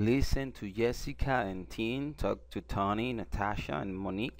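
A man's fairly low, fry-edged voice at a fairly slow pace, full of very wide pitch swings. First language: Spanish. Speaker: English teacher. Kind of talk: language lesson. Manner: explanatory, repeats phrases.

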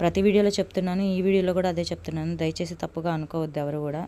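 Monotone, flat intonation marks this woman's fairly low voice. Her tone is dark and mellow. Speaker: vlogger. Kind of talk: casual vlog narration.

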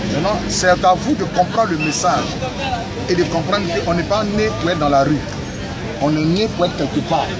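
A man at a moderate pace with ordinary pitch variation, clear music in the background. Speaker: preacher. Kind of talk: informal street preaching. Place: street. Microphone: phone near.

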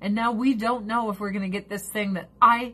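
An animated woman's voice of medium pitch, with a bright, sharp tone. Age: 40s. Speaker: livestreamer. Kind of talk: casual livestream chat.

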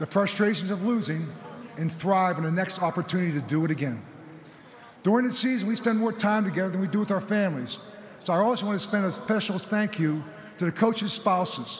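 Over light background noise, a man talks at a very fast pace. His pitch is high, with ordinary variation. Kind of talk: formal acceptance speech. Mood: emotional, grateful. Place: stadium. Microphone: podium.

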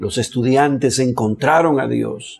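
A man talks at a fairly slow pace. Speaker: religious commentator. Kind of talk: commentary.

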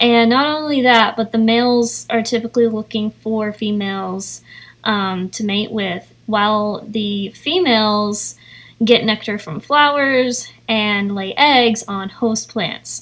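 A woman speaks at a very slow pace with an American accent. Her pitch sits fairly high, with ordinary variation. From East Tennessee. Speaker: artist and YouTuber. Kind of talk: vlog narration with reading aloud. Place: garden. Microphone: phone near.

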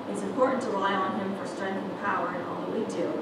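A woman's voice with audible room echo and loud background noise. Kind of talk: children's sermon. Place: church.

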